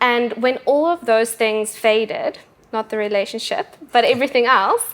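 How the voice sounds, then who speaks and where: A woman speaks with a South African accent at a moderate pace. Her pitch is high, with ordinary variation. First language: Afrikaans. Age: 20s. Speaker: bodybuilder and personal trainer. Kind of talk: casual interview. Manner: hesitant pauses.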